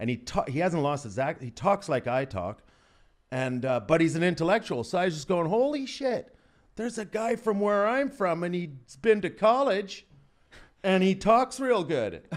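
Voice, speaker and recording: An animated man in an Albertan accent, high-pitched, with very wide pitch swings and a quiet background. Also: moderate pace. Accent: Albertan Canadian. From Canada, Alberta. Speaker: comedian. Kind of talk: podcast interview, casual chat.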